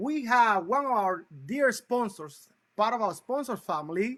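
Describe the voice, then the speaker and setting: In a Cuban accent, a man speaks in a raised, projected voice with an extremely high pitch, a bright, sharp tone, lively intonation and a fairly slow pace. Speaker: talk show host. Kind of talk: interview show introduction. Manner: enthusiastic; halting, many fillers.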